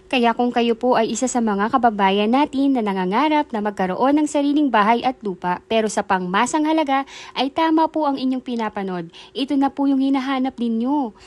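Her voice high and upbeat, a woman speaks with ordinary pitch variation in a dry, close recording with no echo and a quiet background. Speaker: real estate broker. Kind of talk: sales pitch. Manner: brisk, upbeat, persuasive pitchman-style urgency; polite, formal, rehearsed.

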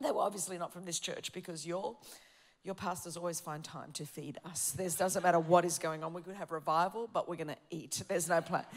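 A woman with an Australian accent, fairly low in pitch, at a fairly quick pace, animated in tone, with big swings in loudness. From Australia, Greek heritage. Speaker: preacher. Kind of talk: sermon. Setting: church with congregation. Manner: fast. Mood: light humorous aside. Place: church.

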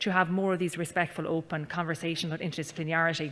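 Her voice sits fairly low with a bright, sharp tone as this woman speaks in an Irish accent with monotone, flat intonation. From Ireland. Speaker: panel chair, university research executive; panel chair. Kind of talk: panel moderation. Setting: conference stage with audience. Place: hall. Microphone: podium.

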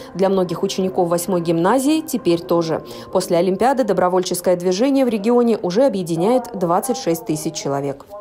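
Over noticeable background noise, a woman talks at a fairly quick pace with lively intonation. Her pitch is medium and her loudness very even. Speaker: TV news reporter. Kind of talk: news report narration.

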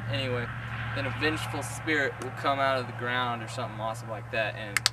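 Loud background noise sits behind a man talking at a fairly quick pace. The sound is dry with no echo. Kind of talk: comedic storytelling skit. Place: garden.

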